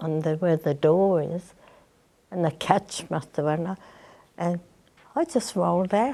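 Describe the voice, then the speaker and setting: A woman's dark, mellow, fairly low voice in an Australian accent, with long, frequent pauses, on a very clean recording with a silent background. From Sydney, Australia (Granville). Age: 80s+. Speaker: elderly interviewee recalling her life. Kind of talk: interview. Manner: halting.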